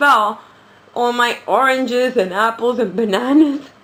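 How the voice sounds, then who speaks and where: In a New York accent, a woman speaks with an animated tone at a fairly high pitch. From New York City. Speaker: reborn doll vlogger. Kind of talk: casual chat.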